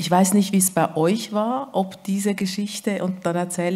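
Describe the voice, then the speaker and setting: Speaking with a slight Swiss German accent, the woman has a fairly low pitch. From Switzerland. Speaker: author. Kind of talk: literary event conversation.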